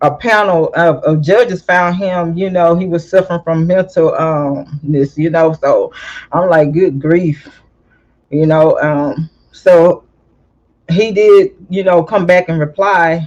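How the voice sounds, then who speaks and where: A woman speaks very slowly with a Southern US accent, her pitch fairly low and her pitch variation ordinary. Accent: country Southern, slow and drawling. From California, then US South. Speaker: YouTube commentator. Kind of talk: casual commentary. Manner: drawling, emotional.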